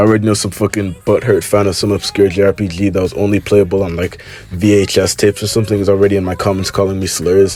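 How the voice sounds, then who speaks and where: A man's fairly low, monotone, flat voice at a very fast pace, with music in the background. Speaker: gaming YouTuber. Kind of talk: video game review commentary. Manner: casual.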